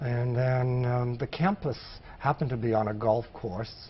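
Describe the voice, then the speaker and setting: A man speaks in an American accent at a medium pitch. His voice is somewhat breathy. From Maine, US. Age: 60s. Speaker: former public health field worker. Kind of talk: oral history interview.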